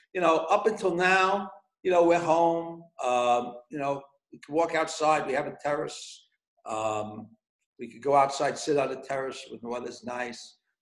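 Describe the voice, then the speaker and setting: A man with a New York accent speaks at a moderate pace in a fairly high pitch, with big swings in loudness. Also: ordinary pitch variation. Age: 60s. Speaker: pizzeria owner. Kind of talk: casual interview. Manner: repeats words, stammering starts.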